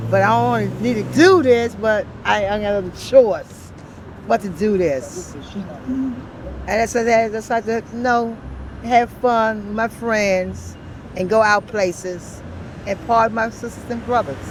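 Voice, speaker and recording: Noticeable background noise sits behind a woman with a fairly high pitch. She talks fairly slowly with ordinary pitch variation. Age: 60s. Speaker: homeless woman interviewed on the street. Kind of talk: street interview.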